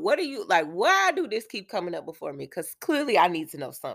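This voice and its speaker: Animated and bright with a sharp tone, a woman's voice makes very wide pitch swings on a very clean recording with a silent background. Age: 30s. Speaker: podcast host. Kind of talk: casual teaching monologue.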